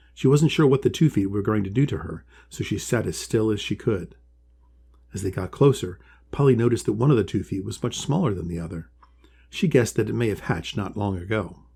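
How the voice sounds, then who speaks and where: Recorded very cleanly against a silent background, a man talks at a very fast pace, somewhat breathy and dark, mellow in tone, with lively intonation. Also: fairly low pitch for a man. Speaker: author and illustrator reading own story. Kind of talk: children's storybook reading.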